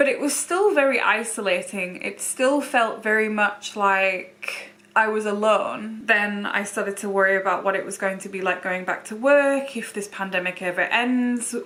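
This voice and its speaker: Over noticeable background noise, a woman with a fairly high pitch talks at a moderate pace with ordinary pitch variation and hardly any pauses. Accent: British. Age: 20s. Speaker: beauty YouTuber living with lupus. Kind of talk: casual talk to camera.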